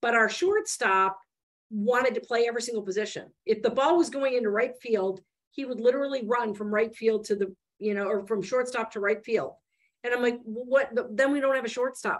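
A woman's fairly high-pitched voice with an American accent, a plain, everyday voice. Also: ordinary pitch variation, fairly quick pace. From Michigan, US Midwest. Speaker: venture investor. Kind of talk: interview.

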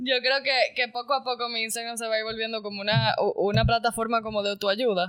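An unremarkable speaking voice, fairly quick in pace and fairly even in intonation. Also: woman, fairly high pitch for a woman. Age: 20s. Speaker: podcast co-host. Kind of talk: casual chat.

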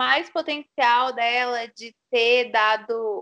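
With a bright, sharp tone and a high pitch, a woman speaks in a raised, projected voice at a very slow pace over a quiet background. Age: 20s. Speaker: podcast co-host. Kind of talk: casual chat.

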